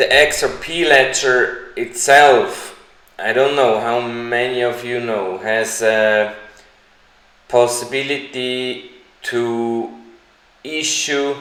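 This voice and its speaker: Amid noticeable background noise and audible room echo, a man with a medium pitch speaks at a very slow pace with fairly even intonation and long, frequent pauses. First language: not English. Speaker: crypto YouTuber. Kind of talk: live stream Q&A. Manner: hesitant, with fillers.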